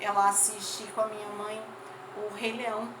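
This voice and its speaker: A woman at medium pitch, with audible room echo and noticeable background noise. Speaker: teacher. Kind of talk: lecture.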